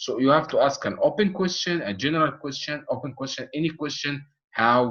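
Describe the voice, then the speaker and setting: A man with a non-native accent and ordinary pitch variation. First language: not English. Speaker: medical exam tutor. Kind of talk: online course lecture. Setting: online video session with chat. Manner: halting, many fillers and repetitions.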